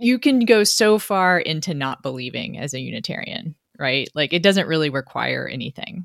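A woman with an American accent in a normal speaking voice, fairly low in pitch, at a moderate pace with lively intonation, on a very clean recording with a silent background and a dry, close sound with no echo. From Texas, Austin. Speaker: political columnist and podcast host. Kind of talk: interview conversation.

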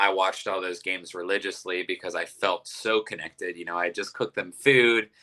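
A man with a Midwestern American accent at a moderate pace. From Ohio, Youngstown. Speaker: restaurant owner and chef. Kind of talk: interview.

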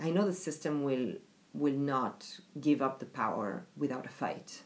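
A woman with a French accent speaks at a fairly slow pace with lively intonation. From France. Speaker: diversity and inclusion specialist. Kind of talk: interview. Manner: hesitant, many fillers.

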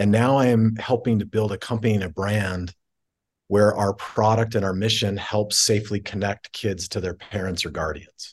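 This man has a plain, everyday voice, fairly low in pitch. His intonation stays fairly even at a moderate pace. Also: quiet background. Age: 40s. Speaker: tech company CEO. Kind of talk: interview conversation.

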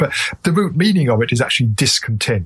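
A man with an English accent speaks at a moderate pace and medium pitch. His voice is somewhat breathy. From England. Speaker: author and meditation teacher. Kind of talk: interview.

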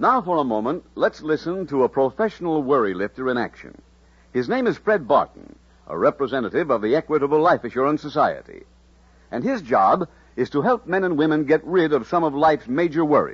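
An ordinary speaking voice from a man, fairly high in pitch and fairly quick, with lively intonation. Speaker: radio announcer. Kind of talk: radio announcer reading sponsor copy and program intro. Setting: old transcribed radio broadcast. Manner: formal, polished, warmly persuasive.

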